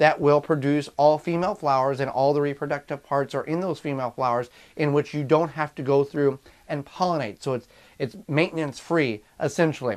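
A man's fairly quick speech, ordinary pitch variation, quiet background. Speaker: home gardener host. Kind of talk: tutorial. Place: home room. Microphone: phone near.

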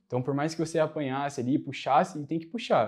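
A man speaks against a quiet background. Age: 20s. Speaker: military academy candidate; interviewee, candidate. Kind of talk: interview. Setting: in person studio. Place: studio. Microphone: lapel.

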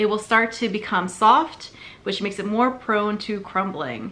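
The tone is bright and sharp. It belongs to a woman. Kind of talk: tutorial. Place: home room. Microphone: phone near.

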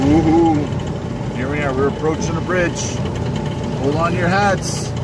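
The speech moves at a very slow pace over loud background noise. The sound is dry, with no echo. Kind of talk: casual vlog chat. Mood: playful, joking. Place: open country. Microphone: phone near.

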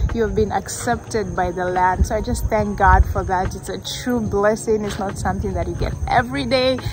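A woman talks with hardly any pauses, the sound dry with no echo, over noticeable background noise. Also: moderate pace. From Kenya. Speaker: vlogger and minister; vlogger, minister. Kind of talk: casual chat; casual vlog chat. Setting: outdoors. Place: street. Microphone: phone near.

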